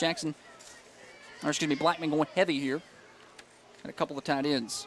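A man with a fairly high pitch speaks with long, frequent pauses, the sound dry with no echo and light background noise present. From US South. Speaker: play-by-play radio announcer. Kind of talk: live commentary. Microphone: headset.

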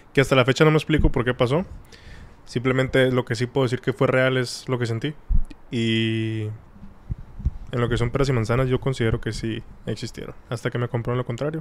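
Talking at a fairly quick pace yet with long, frequent pauses, a man uses a medium pitch and monotone, flat intonation. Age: 20s. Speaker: podcast guest. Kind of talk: casual chat.

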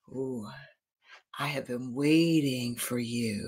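In a put-on character voice, the speaker talks at a very slow pace with a low-to-middle pitch. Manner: ominous, welcoming.

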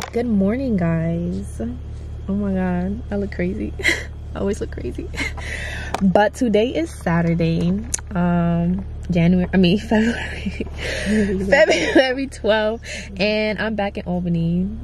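With light background noise and dry sound with no echo, the speech comes at a fairly slow pace with long, frequent pauses. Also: woman. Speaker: vlogger. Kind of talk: casual vlog chat. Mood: cheerful, joking. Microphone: phone near.

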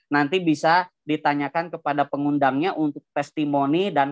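Over a quiet background, a man talks at a moderate pace with a fairly high pitch, the sound dry with no echo. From Indonesia, Bandung; Indonesia. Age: 30s. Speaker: business seminar presenter; presenter. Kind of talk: sales pitch. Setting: video call. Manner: animated. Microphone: video call.

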